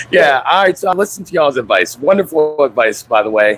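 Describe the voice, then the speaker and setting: This man's voice sits fairly high in pitch, and he talks at a moderate pace. Noticeable background noise can be heard. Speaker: expat call-in show guest. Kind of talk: casual chat.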